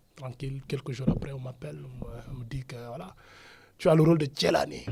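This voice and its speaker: This man's voice has a dark, mellow tone, a medium pitch and some vocal fry. He talks at a fairly quick pace with ordinary pitch variation and big swings in loudness. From Senegal. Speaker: actor. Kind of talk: interview. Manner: casual, code-switching French and Wolof; halting, repeats words.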